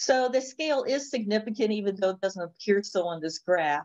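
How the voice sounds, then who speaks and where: In an ordinary speaking voice, a woman of medium pitch talks at a moderate pace with lively intonation against a quiet background. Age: 50s. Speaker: accounting professor and researcher; accounting professor. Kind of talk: conference presentation. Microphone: video call.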